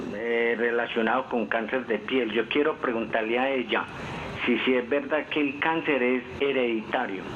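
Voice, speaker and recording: Speaking at a fairly slow pace, a man keeps fairly even intonation and very even loudness. Noticeable background noise sits behind him. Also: medium pitch for a man. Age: 60s. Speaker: caller. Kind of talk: call-in question. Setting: phone call.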